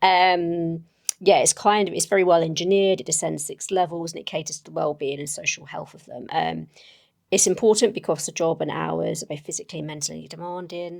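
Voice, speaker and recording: Her loudness swinging widely, a woman speaks at a fairly quick pace. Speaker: solo tabletop game player. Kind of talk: solo game actual play. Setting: at a table with a mic. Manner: hesitant, many fillers.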